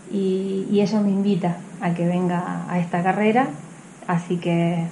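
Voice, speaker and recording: Her pitch sits in the medium range and varies in an ordinary way. The woman delivers her words at a fairly slow pace. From Mendoza, Argentina (General Alvear). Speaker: athlete. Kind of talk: interview. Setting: outdoors at race venue.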